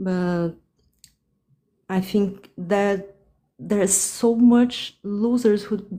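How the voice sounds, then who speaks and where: With a Portuguese accent, this woman speaks at a medium pitch in a dark, mellow tone with ordinary pitch variation. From Brazil. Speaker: caller on a live dating advice stream. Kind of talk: live call-in conversation. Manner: halting, many fillers and restarts.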